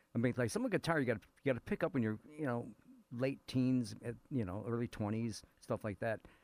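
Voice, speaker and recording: A man talks in a plain, everyday voice at a moderate pace. His medium pitch has ordinary variation, in a dry, close sound with no echo. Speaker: radio co-host. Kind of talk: casual radio chat. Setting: radio studio.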